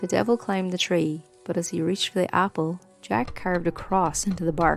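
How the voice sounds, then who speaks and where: A woman speaks in a Donegal accent at a fairly low pitch. Music plays in the background. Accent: Donegal Irish. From Ireland. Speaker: podcast host. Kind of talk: folk tale storytelling.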